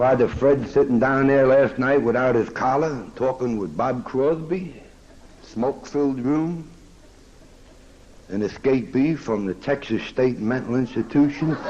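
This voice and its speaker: A man with an American accent, medium pitch and a fairly slow pace. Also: ordinary pitch variation. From Kansas City, Missouri. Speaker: speaker at a recovery meeting. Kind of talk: recovery meeting talk with humor. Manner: animated, joking.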